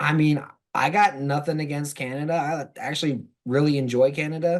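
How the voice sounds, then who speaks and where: An ordinary speaking voice with fairly even intonation at a moderate pace. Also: man, fairly high pitch for a man, quiet background. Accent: American. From US South. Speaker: football blogger. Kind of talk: casual chat.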